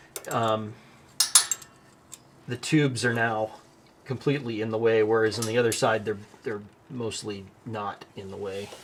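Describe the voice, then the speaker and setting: Noticeable background noise runs under this recording. A man speaks at a medium pitch. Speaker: DIY mechanic YouTuber. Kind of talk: hands-on tutorial while working. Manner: halting, thinking aloud.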